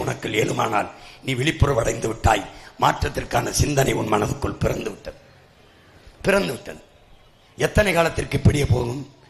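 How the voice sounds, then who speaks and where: Noticeable background noise sits under a man's passionate voice. His pitch is fairly high and swings very widely. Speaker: political party leader giving election campaign speech. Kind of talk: fiery political rally speech. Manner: passionate, forceful, rhetorical.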